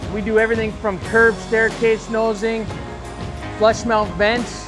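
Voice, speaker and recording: Clear music plays in the background while the voice moves at a moderate pace. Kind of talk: guided tour explanation. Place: workshop.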